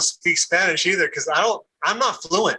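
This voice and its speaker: A man's raised, projected voice at a moderate pace. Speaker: former classmate, podcast guest. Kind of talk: casual chat. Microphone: PC built-in mic.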